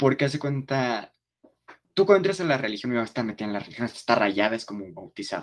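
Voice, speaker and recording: A man with a slight Mexico City accent talks at a very fast pace, his medium pitch carried by lively intonation and big swings in loudness. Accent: slight Mexico City sing-song. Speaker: podcast host. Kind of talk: casual chat.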